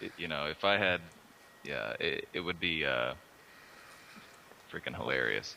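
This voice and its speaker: A man with an American accent speaks at a fairly slow pace with long, frequent pauses, his very deep, low voice carrying a bright, sharp tone, lively intonation and vocal fry. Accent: slight Texas drawl at times. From Austin, Texas. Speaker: artist. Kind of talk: casual chat. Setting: Skype group call.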